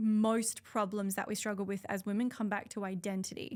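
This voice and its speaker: In a very clean recording with a silent background, a woman with an Australian accent speaks at a fairly quick pace. Her pitch is medium and her intonation monotone and flat. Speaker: trauma therapist. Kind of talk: podcast interview. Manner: loud; talkative.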